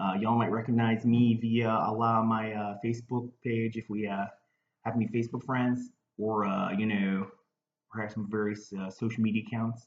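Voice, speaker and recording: With a Baltimore accent, a man talks at a moderate pace in a medium-pitched, flat, monotone voice. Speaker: comedian. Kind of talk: casual talk to camera. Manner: hesitant, rambling.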